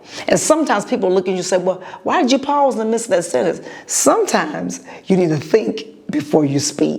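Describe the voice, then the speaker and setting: Over noticeable background noise, a woman at a medium pitch talks at a very fast pace with very wide pitch swings. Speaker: podcast host and preacher. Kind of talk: motivational podcast monologue. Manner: pauses to gather thoughts.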